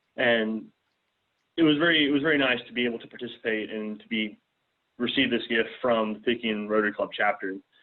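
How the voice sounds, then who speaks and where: This man speaks at a fairly quick pace and a medium pitch. His pitch variation is ordinary. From US South, south Mississippi. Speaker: student, scholarship recipient. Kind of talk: talk to a club.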